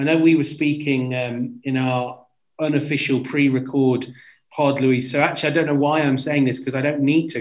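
A man with a British accent, fairly high in pitch, flat and monotone, at a moderate pace. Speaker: football journalist. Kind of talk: casual chat. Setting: remote recording.

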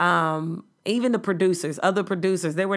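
The woman speaks at a moderate pace in a fairly low pitch. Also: very clean recording, silent background. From South Side of Chicago. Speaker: podcast host and comedian. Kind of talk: solo monologue podcast. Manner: casual, profane storytelling.

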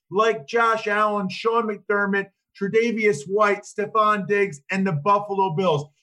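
A man speaks in a raised, projected voice at a fairly slow pace. His pitch is high and his tone bright and sharp. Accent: American. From Pennsylvania, outside Philadelphia. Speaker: former NFL lineman, podcast host, football broadcaster. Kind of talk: casual chat. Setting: video call from a hotel room.

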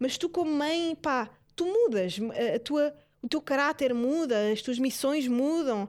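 On a very clean recording with a silent background, a woman with a European Portuguese accent speaks at high pitch in an animated tone with lively intonation. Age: 20s. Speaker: podcast host. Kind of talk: casual monologue.

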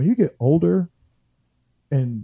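A man's dark, mellow, somewhat breathy voice comes through dry and close with no echo over a quiet background. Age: 30s. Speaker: former football player. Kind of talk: sports talk radio.

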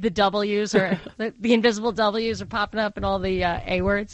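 A woman talks with a Brooklyn accent. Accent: Brooklyn accent, getting stronger. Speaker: radio talk show host. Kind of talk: call-in radio talk.

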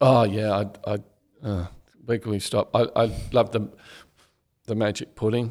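With an Australian accent, a man speaks fairly slowly in a fairly low pitch and a monotone, flat intonation, taking long, frequent pauses. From Australia, Canberra. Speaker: crime novelist, former journalist. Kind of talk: casual interview.

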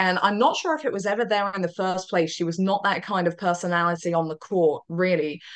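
A woman with a British accent, fairly low pitch and fairly even intonation, on a very clean recording with a silent background. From Britain. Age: young. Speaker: tennis commentator. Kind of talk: casual interview chat.

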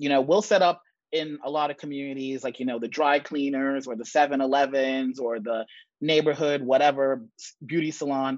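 Fairly high in pitch, a man uses a normal speaking voice with fairly even intonation. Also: moderate pace. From New York (Bronx), born in Jamaica. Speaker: startup founder and investor. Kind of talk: interview.

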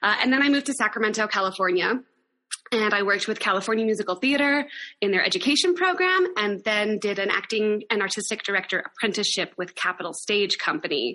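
Speaking very fast with an American accent, a woman uses lively intonation at a fairly high pitch while her loudness stays very even. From Wyoming, US (Laramie). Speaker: theater company founder and artistic director. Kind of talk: interview.

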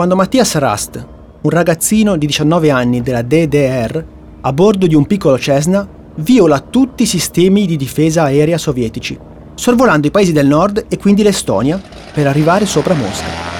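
A man's dramatic, solemn voice, fairly high in pitch, with very wide pitch swings, a moderate pace and noticeable background noise. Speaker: narrator. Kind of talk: history documentary narration. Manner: measured, formal and dramatic, storytelling with a solemn, vivid tone.

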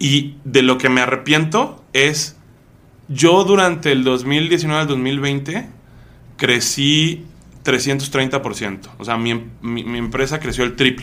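A man's fairly high pitch with ordinary variation, a bright, sharp tone and a very slow pace. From Mexico City. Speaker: e-commerce entrepreneur. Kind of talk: interview.

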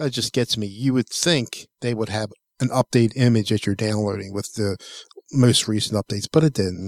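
An ordinary speaking voice moves at a fairly quick pace, with a dry, close sound and no echo. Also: man. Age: 60s. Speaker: tech podcast co-host. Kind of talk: casual chat.

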